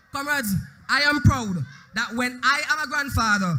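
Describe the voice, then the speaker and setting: At a moderate pace, a man projects a raised voice at an extremely high pitch. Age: young. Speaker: youth political leader. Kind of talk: political rally speech.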